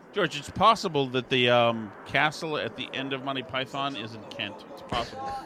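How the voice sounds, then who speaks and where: A man with an American accent speaks at a moderate pace and medium pitch, with lively intonation. His loudness swings widely, and there is noticeable background noise. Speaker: podcast co-host. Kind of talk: casual chat.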